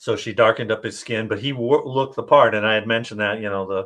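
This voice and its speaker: A man is speaking here. His pitch sits fairly low. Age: 60s. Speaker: author interviewing his audiobook narrator. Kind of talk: casual interview chat. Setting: live-streamed video interview. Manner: halting, many fillers and restarts.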